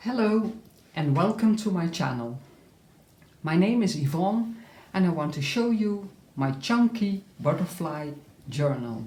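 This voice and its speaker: A woman with a non-native accent speaks in a fairly low, somewhat breathy voice with a dark, mellow tone. Her pitch swings very widely, and she leaves long, frequent pauses. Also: fairly slow pace. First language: not English. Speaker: crafter showing her handmade journal. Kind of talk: tutorial-style flip through. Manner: halting, frequent uh fillers.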